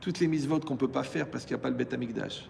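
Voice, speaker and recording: Very fast and marked by vocal fry, this man's speech shows ordinary pitch variation. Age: 60s. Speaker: rabbi teaching Torah. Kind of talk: Torah lecture to a live audience. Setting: hall with audience. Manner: animated, conversational with asides.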